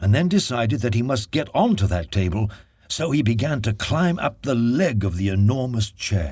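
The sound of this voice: Intonation rises and falls in a lively way through an unforced reading voice.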